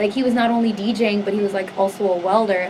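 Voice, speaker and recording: Over noticeable background noise and audible room echo, a woman with a Spanish accent speaks at a medium pitch in a flat monotone. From Southern California (Los Angeles area). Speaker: singer. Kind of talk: interview, life story. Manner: casual, heavy use of 'like'.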